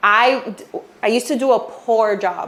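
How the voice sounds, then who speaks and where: A woman with a Miami accent speaks in an animated tone, her fairly high pitch moving with ordinary variation. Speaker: real estate agent and social media speaker. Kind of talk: workshop talk to loan officers. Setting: office with small audience.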